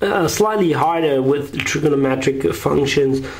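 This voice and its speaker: A man talks fairly slowly, with audible room echo and noticeable background noise in the recording. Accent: German. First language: German. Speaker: math tutor. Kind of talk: tutorial. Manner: halting.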